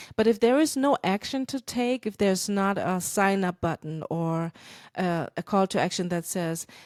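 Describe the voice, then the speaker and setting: A German accent on a very clean recording with a silent background. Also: woman, medium pitch for a woman, lively intonation, moderate pace, dry, close sound with no echo. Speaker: podcast host, church marketing consultant. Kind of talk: podcast monologue. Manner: casual, conversational; halting with fillers.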